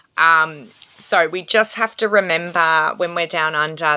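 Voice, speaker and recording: With an Australian accent, a woman talks at a fairly slow pace in a fairly low pitch and a bright, sharp tone. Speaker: tarot reader and reiki healer. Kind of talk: spiritual astrology talk to camera. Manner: casual, hesitant with fillers.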